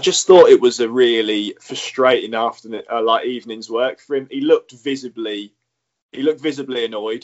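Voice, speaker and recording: A man speaks at a fairly quick pace in a plain, everyday voice, medium in pitch, with fairly even intonation. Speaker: podcast co-host. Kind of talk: casual chat.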